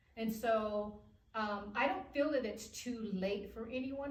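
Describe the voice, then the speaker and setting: A woman speaks in a fairly high, somewhat breathy voice with ordinary pitch variation. Room echo is audible. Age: 60s. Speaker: author. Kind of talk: interview. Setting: studio.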